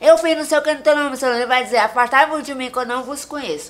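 Ordinary pitch variation in a high-pitched female voice. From Maranhão, Brazil (Tuntum). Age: 30s. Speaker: social media personality. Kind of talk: casual interview chat; religious exhortation.

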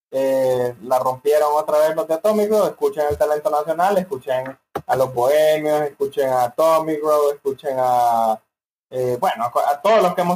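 A man speaks at a moderate pace with an unremarkable speaking voice. His pitch is fairly high, with ordinary variation. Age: young. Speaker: podcast co-host. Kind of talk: casual chat.

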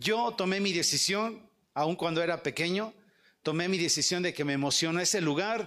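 A man in a Mexican accent, high in pitch, with ordinary pitch variation. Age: 50s. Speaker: evangelist speaker. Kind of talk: sermon.

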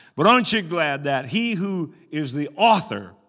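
Audible room echo surrounds a man's voice. His pitch swings very widely. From Arkansas. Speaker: pastor. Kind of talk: sermon. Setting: church. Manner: animated.

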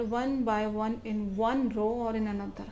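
A woman with an Indian accent, fairly high in pitch, at a fairly slow pace, with monotone, flat intonation. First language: Hindi. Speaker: blogger and story writer. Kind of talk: reading aloud.

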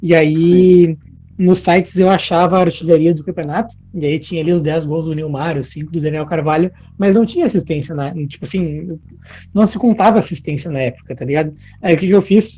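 A man talks fairly quickly, his high pitch paired with a dark, mellow tone. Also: ordinary pitch variation. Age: 20s. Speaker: football podcast co-host. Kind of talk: casual chat.

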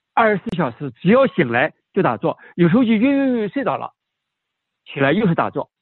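The speaker moves at a fairly quick pace. Pitch rises and falls very widely. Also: man, high pitch for a man. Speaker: martial arts and meditation master. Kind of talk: casual chat. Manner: halting, with many repetitions and fillers.

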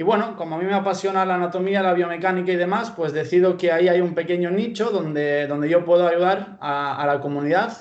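Fairly quick and with hardly any pauses, a man speaks in a high pitch with a Spanish accent and fairly even intonation. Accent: purely Spanish (Spain). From Pamplona, Spain (born in Bulgaria, moved at 12). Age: 20s. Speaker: sports science student and fitness coach. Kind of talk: interview.

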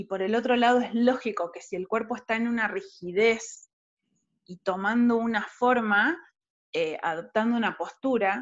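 The voice moves fairly slowly, its intonation lively. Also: woman. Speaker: podcast host. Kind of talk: interview. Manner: halting, many repetitions.

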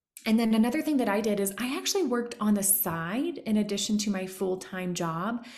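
A woman's somewhat breathy, fairly high voice carries lively intonation at a fairly quick pace, with audible room echo. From Tennessee. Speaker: business consultant and coach. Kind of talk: casual interview chat.

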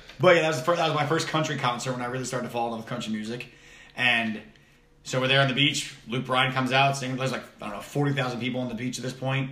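A man with an American accent at a very fast pace, fairly even intonation, and noticeable background noise. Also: medium pitch for a man. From US East Coast. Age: 20s. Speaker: podcast host. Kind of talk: casual chat. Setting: home office.

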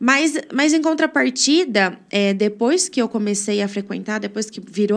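In an unremarkable speaking voice, a woman with a fairly high pitch speaks at a fairly slow pace. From Brazil, Brodowski (São Paulo state). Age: 20s. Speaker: church member. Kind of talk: testimony.

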